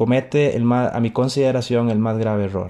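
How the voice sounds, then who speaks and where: A man talks at a moderate pace and medium pitch in a dark, mellow tone. The background is quiet. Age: 30s. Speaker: podcast host and writer. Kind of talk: motivational monologue.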